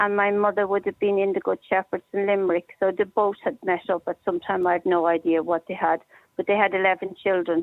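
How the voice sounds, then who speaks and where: Talking at a fairly quick pace, a woman has a Dublin accent. Her medium pitch stays monotone and flat. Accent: Dublin Irish. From Ireland, Dublin. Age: 60s. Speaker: caller, institution survivor. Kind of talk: personal testimony on talk radio.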